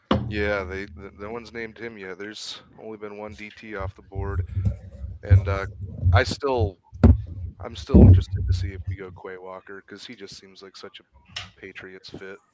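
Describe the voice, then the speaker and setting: Fairly even intonation at a moderate pace, with long, frequent pauses, big swings in loudness and noticeable background noise. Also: man, fairly low pitch for a man. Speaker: sports podcast co-host. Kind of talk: casual chat. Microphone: mic a little quiet.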